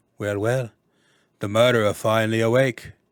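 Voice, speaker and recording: Gruff and flat in a monotone, this put-on character voice comes in a Cockney accent at a moderate pace on a very clean recording with a silent background. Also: man, medium pitch for a man. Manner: mocking, hostile.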